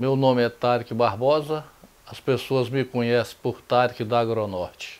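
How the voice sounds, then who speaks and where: Here is a man with an unremarkable speaking voice at a medium pitch and fairly even intonation. He speaks at a fairly slow pace, with big swings in loudness. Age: 60s. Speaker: former mayor. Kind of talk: interview.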